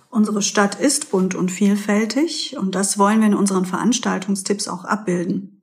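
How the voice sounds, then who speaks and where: A woman's ordinary speaking voice at medium pitch, with ordinary pitch variation, a moderate pace and hardly any pauses. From Pforzheim, Germany. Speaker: co-host, author of local books. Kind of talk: scripted event listings.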